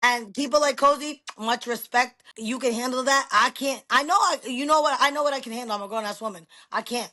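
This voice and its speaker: In a New York accent, a woman speaks loudly at a moderate pace with an animated, bright, sharp tone, a high pitch, and ordinary pitch variation. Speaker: podcast guest. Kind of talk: casual chat. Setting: video recording on camera.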